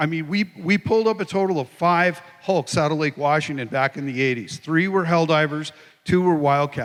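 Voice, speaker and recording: At a moderate pace, a man speaks in a plain, everyday voice, fairly high, with ordinary pitch variation. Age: 60s. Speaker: lawyer and aircraft wreck recoverer. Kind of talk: panel Q&A.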